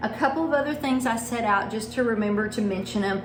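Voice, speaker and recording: A woman's fairly high voice with a Texas accent, amid audible room echo and noticeable background noise. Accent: Texas twang. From Texas, small town. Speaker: home baker and blogger. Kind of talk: cooking tutorial. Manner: casual, conversational.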